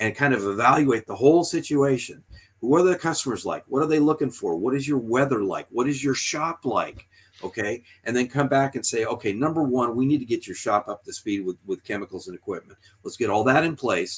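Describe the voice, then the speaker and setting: A man at medium pitch with ordinary pitch variation and a fairly quick pace. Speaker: detailing trainer and shop owner. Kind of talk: business discussion. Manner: soft-spoken; intense at times. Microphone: close to the mic, backing off.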